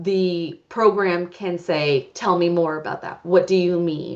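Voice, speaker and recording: A woman with a plain, everyday voice speaks at a fairly low pitch. Her pace is fairly slow and her intonation fairly even. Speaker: public health researcher. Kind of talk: conference presentation. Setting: conference talk with audience.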